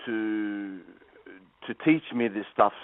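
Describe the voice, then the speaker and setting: The speaker talks fairly slowly. He is a man with an Australian accent. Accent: Australian, noticeable. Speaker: guitar teacher and professional musician. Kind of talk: radio interview. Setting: phone call. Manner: halting, many fillers and repeats.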